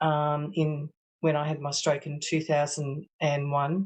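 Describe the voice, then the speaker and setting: A woman speaks with an Australian accent against a quiet background. Her pitch is very deep and low. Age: 60s. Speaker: stroke survivor with aphasia. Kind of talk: testimony. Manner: halting, many hesitations.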